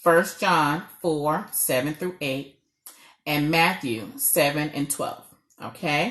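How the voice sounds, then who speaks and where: Speaking very slowly in a New York accent, a woman uses a very deep, low pitch with ordinary pitch variation. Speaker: marriage coach. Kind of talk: live stream talk.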